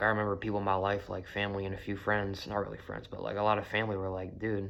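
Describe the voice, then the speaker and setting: A man speaks with a fairly low pitch. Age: 20s. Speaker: vlogger sharing personal story. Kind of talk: casual monologue. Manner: casual, filler-heavy.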